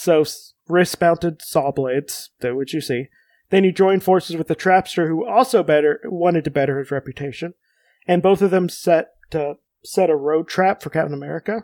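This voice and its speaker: A man with a high voice talks at a fairly quick pace with ordinary pitch variation, his dry, close sound carrying no echo on a very clean recording with a silent background. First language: Spanish. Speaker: podcast host. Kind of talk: casual chat.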